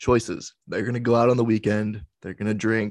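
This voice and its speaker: A man's fairly low voice at a fairly quick pace, monotone and flat, with a dry, close sound, no echo and a quiet background. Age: 20s. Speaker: fitness podcast host, college student. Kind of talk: solo casual monologue.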